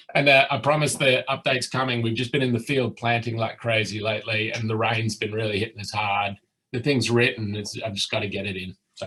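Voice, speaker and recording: A man with an Australian accent talks at a fairly quick pace with hardly any pauses, in a bright, sharp tone at medium pitch and fairly even intonation. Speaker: research project lead. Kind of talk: conference presentation.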